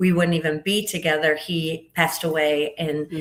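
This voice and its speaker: Someone talks at a fairly slow pace in an unremarkable speaking voice. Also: woman. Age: 60s. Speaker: podcast guest. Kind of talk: casual interview chat.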